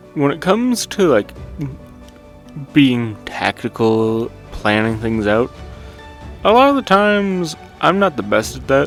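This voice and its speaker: Music plays in the background as a man at medium pitch speaks at a fairly slow pace, with very wide pitch swings and long, frequent pauses. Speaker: game reviewer. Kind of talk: game review voiceover. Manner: casual, rambling.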